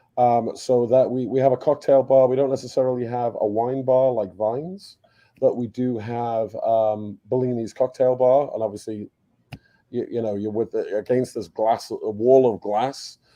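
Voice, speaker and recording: Moving at a moderate pace, a man speaks at a medium pitch with fairly even intonation. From UK, then Canada. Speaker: cruise ship design expert. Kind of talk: live webinar Q&A.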